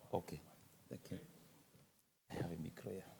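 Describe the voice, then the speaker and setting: A man is speaking. He whispers. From Cameroon. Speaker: government focal point for forest restoration. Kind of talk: conference presentation. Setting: conference panel with audience. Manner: halting.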